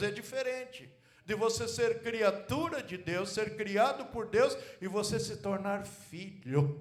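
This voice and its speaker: Amid audible room echo, a man talks at a very slow pace. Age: 70s. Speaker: pastor. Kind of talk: sermon. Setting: church.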